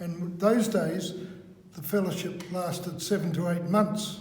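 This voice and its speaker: A man talks at a fairly slow pace in a New Zealand accent, his pitch high for a man. Noticeable background noise runs behind him. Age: 80s+. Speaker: author and trainer. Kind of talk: interview answer.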